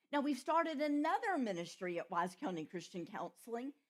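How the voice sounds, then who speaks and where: Speaking with a Southern US accent, a woman moves through very wide pitch swings. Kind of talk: retreat talk.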